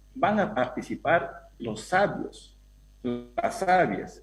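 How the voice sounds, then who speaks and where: Music plays in the background as a man speaks. His high pitch moves in very wide swings. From Peruvian Amazon, Awajún people. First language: Awajún (speaking Spanish). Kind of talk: panel discussion. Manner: halting.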